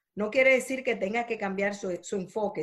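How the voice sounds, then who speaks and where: The recording is very clean with a silent background. A woman with a normal speaking voice talks at a fairly high pitch with ordinary pitch variation. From Dominican Republic. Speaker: entrepreneur and speaker. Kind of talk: interview.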